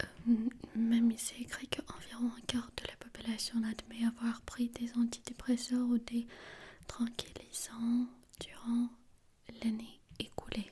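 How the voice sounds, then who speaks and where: A woman speaks very slowly at a fairly high pitch. Her intonation is monotone and flat, with noticeable background noise. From Armenia. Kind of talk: ASMR soft-spoken talk to camera. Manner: soft-spoken.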